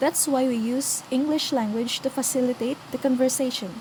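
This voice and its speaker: Against noticeable background noise, a woman with a high voice speaks at a moderate pace. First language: not English. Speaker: student presenter. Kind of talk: scripted class presentation.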